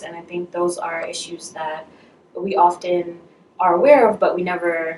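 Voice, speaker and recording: An unremarkable speaking voice from a woman with an American accent, fairly low pitch, ordinary pitch variation and a moderate pace. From Brooklyn, New York. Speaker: medical student. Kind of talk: interview.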